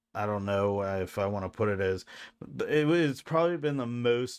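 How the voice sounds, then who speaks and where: Lively intonation marks a man's fairly low-pitched voice as he talks at a fairly slow pace. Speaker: streamer. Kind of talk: casual talk to camera. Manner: halting. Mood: grateful, warm.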